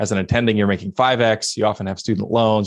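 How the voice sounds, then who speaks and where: A man with an American accent, fairly low pitch and fairly even intonation, against a quiet background. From Pittsburgh, Pennsylvania. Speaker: financial advisor and podcaster. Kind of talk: interview.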